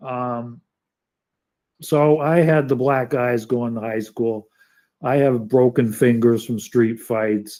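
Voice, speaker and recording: In a New York accent, a man speaks at medium pitch with a dark, mellow tone and fairly even intonation. His pace is very slow, with long, frequent pauses. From New York City. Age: 60s. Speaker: environmental activist and live stream host. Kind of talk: casual live stream chat. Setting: live online studio stream. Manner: halting, many false starts.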